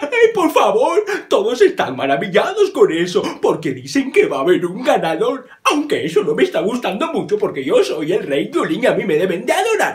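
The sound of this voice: A put-on character voice is used at a moderate pace. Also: man, extremely high pitch for a man.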